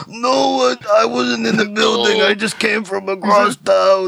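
A raspy, hoarse put-on character voice at a fairly slow pace. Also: man, high pitch for a man.

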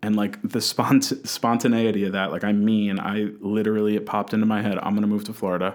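On a very clean recording with a silent background, a man with an unremarkable speaking voice talks fairly quickly at a fairly low pitch. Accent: American. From New Jersey. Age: 20s. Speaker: college student and recovery specialist. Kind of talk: interview testimony.

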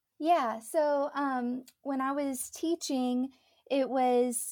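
On a very clean recording with a silent background, a woman speaks at a high pitch with an American accent. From Texas, Dallas area. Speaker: music teacher and online artist, spouse of a travel nurse. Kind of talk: interview. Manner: halting, many fillers and repeats.

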